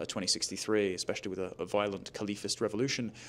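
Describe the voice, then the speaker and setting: A man speaks at a fairly low pitch. The recording is very clean, its background silent. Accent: British. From Britain. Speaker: political commentator. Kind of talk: interview. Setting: conference.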